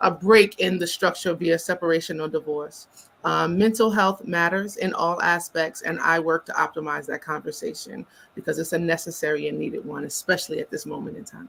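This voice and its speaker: A woman talks at a fairly quick pace with a New York accent, hardly pausing at all. Her loudness swings widely, and background noise is noticeable. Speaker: psychotherapist. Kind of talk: panel interview. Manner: fast.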